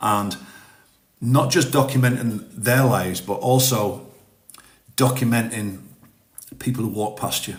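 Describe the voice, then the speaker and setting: A man with a somewhat breathy voice and fairly even intonation speaks in a room with audible echo. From northern England. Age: 50s. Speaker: TikTok live streamer, ex-forces. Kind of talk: casual live-stream chat. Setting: TikTok live stream. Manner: halting, repeats words.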